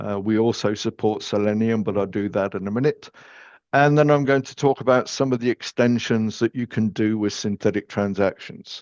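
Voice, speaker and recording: In an English accent, a man speaks at a moderate pace and medium pitch with fairly even intonation, the sound dry and close with no echo against a quiet background. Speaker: software company technical expert. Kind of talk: webinar presentation.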